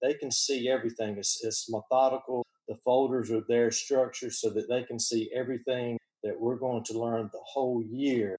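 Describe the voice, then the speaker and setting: Fairly even intonation comes with a dark, mellow tone. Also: man, medium pitch for a man, moderate pace. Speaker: high school teacher. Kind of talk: casual panel conversation. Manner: loud.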